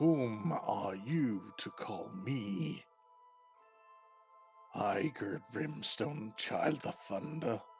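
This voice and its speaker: A man's booming, growling put-on character voice at medium pitch, very slow, with long, frequent pauses and clear music in the background. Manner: thunderous, commanding.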